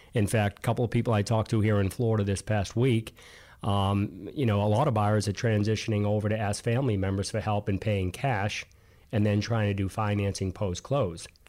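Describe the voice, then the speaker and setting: On a very clean recording with a silent background, the speaker uses a slight Boston accent, a fairly quick pace, fairly even intonation and very even loudness. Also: man, fairly low pitch for a man. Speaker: co-host, mortgage professional. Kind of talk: casual business chat.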